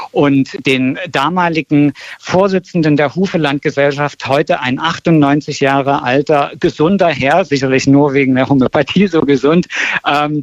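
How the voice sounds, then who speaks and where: At a moderate pace, a man with a fairly high pitch and ordinary pitch variation uses an unremarkable speaking voice, the sound dry and close with no echo. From Berlin. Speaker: documentary filmmaker. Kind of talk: radio interview.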